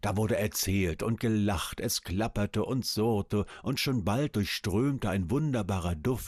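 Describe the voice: Simply plain reading aloud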